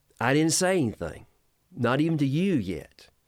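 Speaking at a moderate pace with a Southern US accent, a man's pitch swings very widely. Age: 50s. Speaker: pastor. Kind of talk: casual interview. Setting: studio.

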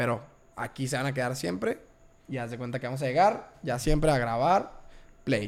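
A man talks at a medium pitch and a moderate pace with ordinary pitch variation. He leaves long, frequent pauses. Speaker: podcast host. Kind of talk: casual chat.

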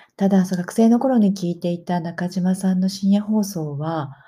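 This woman has a fairly low pitch and a dark, mellow tone that is somewhat breathy. She talks at a moderate pace with ordinary pitch variation. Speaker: podcaster. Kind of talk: casual monologue. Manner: hesitant with fillers.

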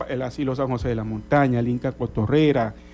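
A man is talking at a medium pitch. Music can be heard behind him. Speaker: journalist and service club director. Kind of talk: radio interview. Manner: halting, many fillers.

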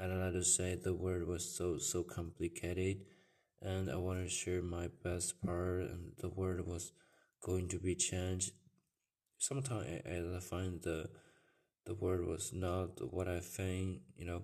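With a Chinese accent, a man speaks fairly slowly in a very deep, low voice, his tone dark and mellow and his intonation flat and monotone. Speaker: podcaster. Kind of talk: personal monologue. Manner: halting.

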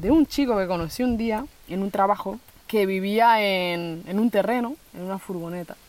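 With a plain, everyday voice, a woman speaks at a fairly slow pace using lively intonation. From Spain (raised from age 7, born in Colombia). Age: 20s. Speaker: social worker, van-life traveller. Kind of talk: interview conversation. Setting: outdoors on a rural plot.

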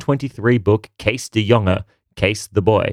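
On a very clean recording with a silent background, a man with a plain, everyday voice speaks at a medium pitch and moderate pace, the sound dry and close with no echo. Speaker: history co-host. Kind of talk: scripted historical narration. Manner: lively, wry, mock-comradely.

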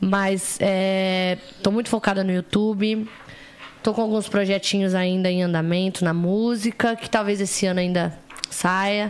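Against noticeable background noise, a woman with a medium pitch talks at a fairly slow pace in a monotone, flat intonation. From interior of São Paulo state, Brazil. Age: 20s. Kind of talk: casual chat.

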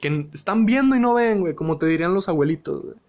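Speaking at a moderate pace, a man with a Mexican accent uses a high pitch and lively intonation. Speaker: podcast host. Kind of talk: casual monologue. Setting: live audio stream. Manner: animated.

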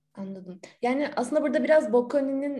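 A woman speaks at a very fast pace in a dark, mellow tone. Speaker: podcast co-host. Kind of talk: interview.

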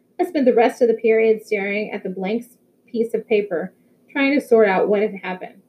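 Pitch variation stays ordinary. Someone is reading aloud in a natural voice.

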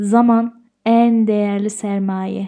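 A woman speaks at a fairly high pitch with a dark, mellow tone. The recording is very clean, with a silent background. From Austria (Tyrol). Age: 30s. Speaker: podcast host. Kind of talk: solo monologue podcast.

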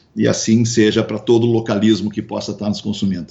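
This man's delivery is fairly brisk. The rise and fall of his pitch is typical. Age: 50s. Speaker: radio host and businessman. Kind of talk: casual interview chat. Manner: halting, many repetitions.

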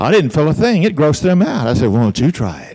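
A man with an Alabama accent talks at a fairly quick pace, his pitch swinging very widely. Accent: Southern US (Alabama). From US South. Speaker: pastor. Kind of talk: sermon.

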